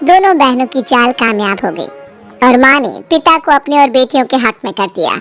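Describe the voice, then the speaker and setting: Faint music plays in the background as a woman with a high pitch talks fairly quickly in lively intonation. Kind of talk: bedtime story narration. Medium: audio drama. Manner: steady, expressive.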